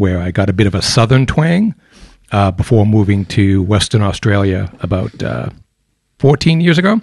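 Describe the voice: A man talks with an American accent at a moderate pace. His pitch sits fairly low.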